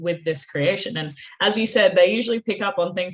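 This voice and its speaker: Talking at a fairly quick pace, a woman speaks with an Australian accent. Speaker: author and interview host. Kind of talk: interview.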